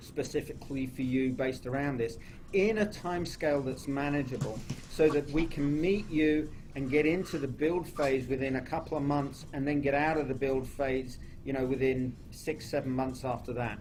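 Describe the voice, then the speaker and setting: A man talks at a moderate pace in a fairly high pitch. His intonation is fairly even, and the room echo is audible. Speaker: home builder. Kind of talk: radio interview. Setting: radio studio, live broadcast.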